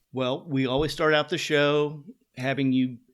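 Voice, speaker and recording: The speaker has a Midwestern American accent and fairly even intonation. The pace is moderate. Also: man. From western Kansas. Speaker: podcast host. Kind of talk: scripted show intro; interview.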